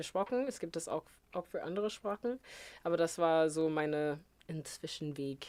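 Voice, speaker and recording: Speaking with an English accent at a moderate pace, a woman uses a fairly low pitch and lively intonation. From US Midwest, rural Missouri. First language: English (speaking German). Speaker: educator and singer. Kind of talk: interview. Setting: studio. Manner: halting.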